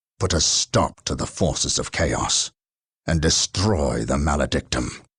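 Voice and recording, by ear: In a very clean recording with a silent background, a man does a put-on character voice at an extremely low pitch, husky with a rough edge and a fairly bright tone, speaking at a fairly slow pace with lively intonation.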